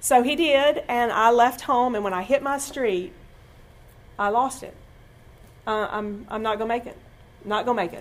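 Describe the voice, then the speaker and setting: A woman speaks at a moderate pace in a high voice with ordinary pitch variation. Her loudness swings widely, and she pauses often and at length. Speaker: church speaker giving testimony. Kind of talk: testimony.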